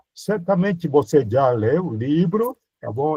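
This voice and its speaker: Somewhat breathy speech at a fairly slow pace, with lively intonation. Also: man. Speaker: priest teaching a Bible course. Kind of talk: lecture. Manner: animated.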